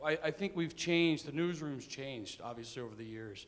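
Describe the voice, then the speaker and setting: A man speaks at a fairly quick pace with lively intonation and a fairly high pitch. Noticeable background noise runs under his voice. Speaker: newspaper editor. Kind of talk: panel discussion. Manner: loud.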